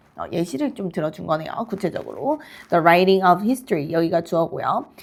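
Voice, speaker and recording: A woman talks at a fairly quick pace in a fairly low pitch. Her intonation is lively. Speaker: English teacher. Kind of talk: lecture. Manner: halting.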